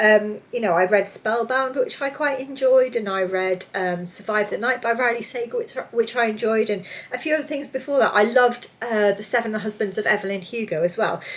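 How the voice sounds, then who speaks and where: The talking comes at a fairly quick pace with hardly any pauses and ordinary pitch variation. Noticeable background noise can be heard. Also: woman, fairly high pitch for a woman. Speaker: book reviewer. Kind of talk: casual video review. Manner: fast.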